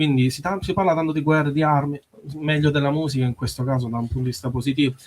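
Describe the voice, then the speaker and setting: At a very fast pace, a man talks in a somewhat breathy, fairly high voice with ordinary pitch variation. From Sicily. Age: 30s. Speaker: musician. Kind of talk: radio interview. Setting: radio studio. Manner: halting.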